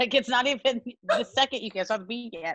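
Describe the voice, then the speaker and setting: A woman's high-pitched voice, animated and bright with a sharp tone, in a dry, close sound with no echo. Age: 30s. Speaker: musical theatre actress. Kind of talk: casual chat.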